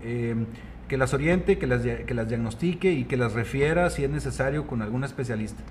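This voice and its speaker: A man speaks at a fairly quick pace. Noticeable background noise and audible room echo are present. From Mexico, Coahuila (Nava). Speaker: gynecologist and fertility specialist. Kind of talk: casual interview.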